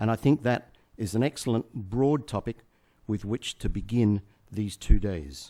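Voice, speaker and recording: A man with an Australian accent, fairly low pitch, and a dark, mellow tone at a moderate pace with ordinary pitch variation, in a dry, close sound with no echo on a very clean recording with a silent background. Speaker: management consultant. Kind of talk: conference keynote speech.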